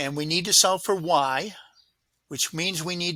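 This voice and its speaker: A man with an American accent speaks at a moderate pace in a bright, sharp tone with ordinary pitch variation. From US Midwest, Illinois. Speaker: tutor. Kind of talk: tutorial. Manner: casual, with fillers.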